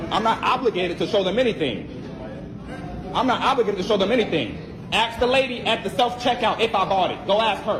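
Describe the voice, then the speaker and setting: A man is shouting, loud and high-pitched, at a very fast pace with ordinary pitch variation. Audible room echo and noticeable background noise surround him. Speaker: shopper accused of shoplifting. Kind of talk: heated argument with police. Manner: loud, yelling.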